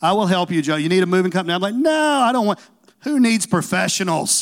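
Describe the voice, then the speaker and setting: On a very clean recording with a silent background, a man speaks with a Southern US accent. His voice is high, his tone animated, and his pace fairly quick. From Tennessee. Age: 40s. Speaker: pastor. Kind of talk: sermon. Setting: church.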